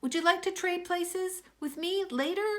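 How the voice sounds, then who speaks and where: A woman's squeaky, put-on character voice at an extremely high pitch and a moderate pace. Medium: read story.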